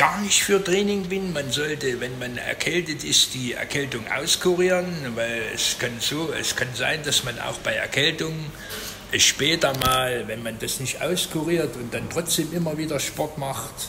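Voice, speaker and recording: Noticeable background noise runs under a man's voice. He talks at a fairly slow pace with ordinary pitch variation. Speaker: vlogger. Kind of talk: casual vlog chat. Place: home room. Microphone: phone near.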